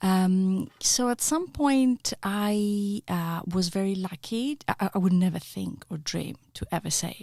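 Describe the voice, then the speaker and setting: A woman with a Greek accent speaks at a fairly slow pace and a medium pitch, her tone dark and mellow and somewhat breathy, in a very clean recording with a silent background and a dry, close sound with no echo. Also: ordinary pitch variation, hardly any pauses. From Greece (Ioannina). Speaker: acting lecturer and researcher. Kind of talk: podcast interview.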